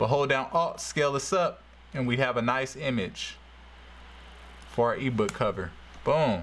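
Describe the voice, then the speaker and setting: With an animated tone and vocal fry, a man speaks at a medium pitch and a moderate pace with ordinary pitch variation, leaving long, frequent pauses in a room with audible echo. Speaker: graphic design tutorial creator. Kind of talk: tutorial. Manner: casual, animated.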